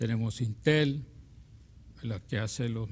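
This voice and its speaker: A man speaks at a medium pitch and a very slow pace. His voice is somewhat breathy. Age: 60s. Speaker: university professor and business administrator. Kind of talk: TV interview. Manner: hesitant.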